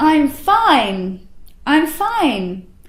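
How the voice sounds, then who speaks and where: A woman's put-on character voice, high-pitched and resonant with a warm tone, swinging very widely in pitch, with a slight echo. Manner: open, warm, projecting outward.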